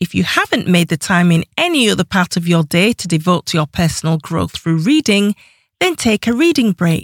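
Heard in a very clean recording with a silent background and a dry, close sound with no echo, a woman with an unremarkable speaking voice keeps very even loudness, a fairly low pitch and ordinary pitch variation. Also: moderate pace. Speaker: audiobook narrator and author. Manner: even, measured and clear, with a warm encouraging tone.

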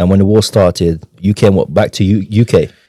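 A man speaks fairly quickly with a London accent, his fairly low pitch carried in a dark, mellow tone and fairly even intonation. The recording is very clean, with a silent background. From North London, born in Ukraine. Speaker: podcast host. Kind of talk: interview. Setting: in-person studio.

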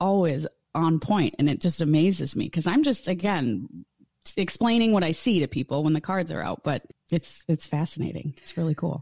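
A woman's very deep, low voice with a dark, mellow tone, somewhat breathy, ordinary pitch variation and a moderate pace, in a dry, close sound with no echo and a very clean recording with a silent background. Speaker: photographer and tarot reader. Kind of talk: casual interview chat.

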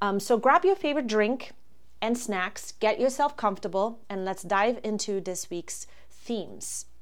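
With a German accent, a woman speaks at a fairly slow pace, her fairly high pitch showing ordinary variation. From Germany. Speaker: astrologer and podcast host. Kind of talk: solo podcast monologue. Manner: hesitant, with frequent fillers.

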